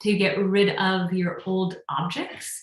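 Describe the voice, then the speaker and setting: A woman speaks at a medium pitch. Her intonation stays monotone and flat. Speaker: meditation teacher. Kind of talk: casual chat. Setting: livestream. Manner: fast; halting.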